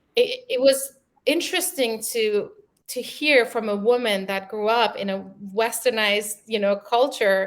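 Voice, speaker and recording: With a German accent, a woman speaks at a fairly slow pace and fairly high pitch, her pitch varying in an ordinary way. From Germany (born in Iran). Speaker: creative executive. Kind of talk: interview. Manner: hesitant, many fillers.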